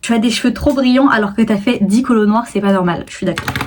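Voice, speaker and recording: The pitch varies an ordinary amount. Noticeable background noise runs underneath. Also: woman. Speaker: YouTuber and TikTok creator. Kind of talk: casual vlog talk to camera. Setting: filming at home on tripod. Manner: chatty, many fillers.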